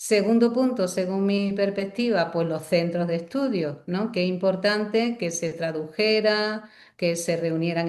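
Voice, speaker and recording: A woman talks at a medium pitch and a fairly slow pace. Her pitch varies in an ordinary way, with audible room echo around her. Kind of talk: lecture.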